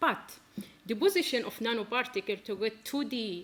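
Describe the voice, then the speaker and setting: Speaking with an Arabic accent, a woman keeps a moderate pace. Her pitch is fairly high, with ordinary pitch variation. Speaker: physics researcher. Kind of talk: scientific presentation. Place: stage.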